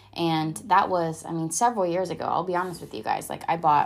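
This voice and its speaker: On a very clean recording with a silent background, a woman has an unremarkable speaking voice, fairly low in pitch, with ordinary pitch variation. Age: 20s. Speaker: podcast host. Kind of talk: solo monologue. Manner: casual, filler-heavy.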